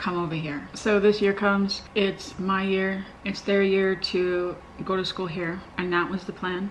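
There is light background noise as a woman talks at a moderate pace. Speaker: parent vlogger. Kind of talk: casual vlog chat. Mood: upset, earnest. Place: home room.

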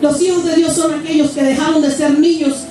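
A woman's high-pitched, animated voice amid strong room echo and light background noise. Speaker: preacher. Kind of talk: sermon. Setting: church with live congregation, streamed online. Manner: fervent, exhortative pulpit delivery with rhetorical questions; animated, repeating phrases, punctuated by shouts of praise. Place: church.

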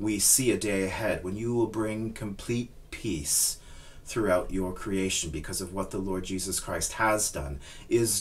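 A man talks fairly slowly, with light noise in the background. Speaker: minister leading a service. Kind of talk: prayer and scripture reading. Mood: calm, reverent. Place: home room.

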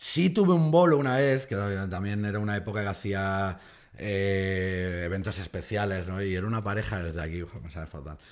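Against a quiet background, a man with a fairly low pitch talks at a fairly quick pace, showing ordinary pitch variation and big swings in loudness. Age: 40s. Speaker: comedian. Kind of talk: casual chat. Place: studio. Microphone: studio mic.

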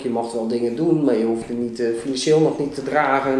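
Audible room echo surrounds a man as he speaks. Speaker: interview guest. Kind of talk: interview answer. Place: meeting room. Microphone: camera far.

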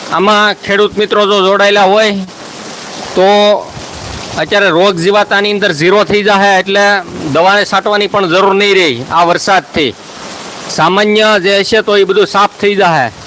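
Over noticeable background noise, a man with a high pitch speaks with fairly even intonation and very even loudness. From Saurashtra, Gujarat (Khambha, Amreli district). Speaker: farming YouTuber. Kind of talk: live stream chat with viewers. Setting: outdoors at night during rain, live stream.

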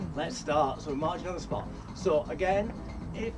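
Loud music plays in the background as a man speaks at a fairly quick pace. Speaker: fitness instructor. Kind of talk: workout instruction. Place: garden. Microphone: camera far.

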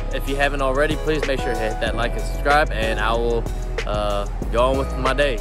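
Clear music plays in the background as a man speaks at a fairly quick pace, the sound dry with no echo. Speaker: vlogger. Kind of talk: casual vlog chat. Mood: upbeat, relaxed. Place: street. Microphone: phone near.

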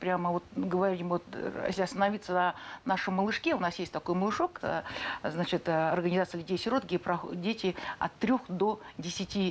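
A woman keeps a moderate pace and fairly even intonation. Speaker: regional social welfare deputy minister. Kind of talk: interview answer. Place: studio. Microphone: lapel.

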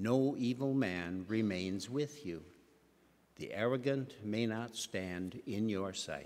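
The speech moves at a very slow pace with ordinary pitch variation. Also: man. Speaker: lector reading scripture. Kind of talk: scripture reading aloud. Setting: church. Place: church. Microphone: podium.

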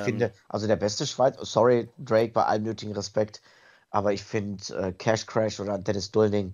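A man at a fairly low pitch, with a monotone, flat intonation and a moderate pace. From Italy. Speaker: wrestling ring announcer. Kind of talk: podcast interview answer.

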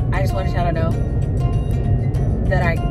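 A woman talks over loud music in the background. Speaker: vlogger, teacher telling story. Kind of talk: casual vlog chat. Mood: amused, animated storytelling. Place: car. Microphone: phone near.

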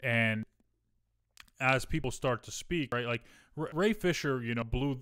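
Over a quiet background, a man with an American accent talks at a moderate pace, with medium pitch and ordinary pitch variation. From US Midwest. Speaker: podcast co-host, streamer; podcast co-host. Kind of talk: casual chat. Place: home room. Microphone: studio mic.

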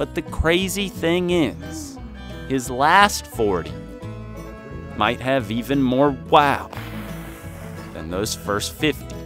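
Over music in the background, a man speaks at a very slow pace and medium pitch, with very wide pitch swings and long, frequent pauses. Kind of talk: documentary narration.

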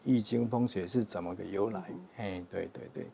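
Heard over light background noise, a man with a dark, mellow tone speaks at a moderate pace with ordinary pitch variation. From Taiwan, Yunlin County; Taiwan. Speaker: religious group member; interview guest. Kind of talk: interview testimony. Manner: halting, many fillers. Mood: calm, friendly. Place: studio. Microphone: lapel.

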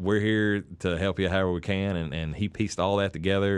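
Here a man talks at a fairly quick pace with fairly even intonation. The background is quiet. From Harlan, eastern Kentucky; Kentucky. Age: 40s. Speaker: musician, band frontman; guest. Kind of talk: casual interview chat. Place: home room. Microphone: studio mic.

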